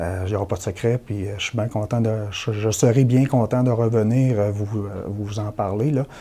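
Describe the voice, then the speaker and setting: A man with a normal speaking voice, fairly low in pitch, with fairly even intonation and a fairly slow pace. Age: 40s. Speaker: election candidate. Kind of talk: political interview.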